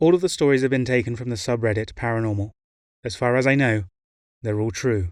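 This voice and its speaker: A man with a British accent at a very fast pace and medium pitch, ordinary pitch variation and long, frequent pauses. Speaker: narrator. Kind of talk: casual talk to camera introduction.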